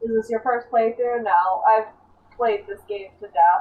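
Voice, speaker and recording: A woman mumbles at a fairly slow pace. Her pitch is fairly high and her intonation fairly even. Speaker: video game streamer. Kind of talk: casual gaming stream commentary. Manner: mumbling.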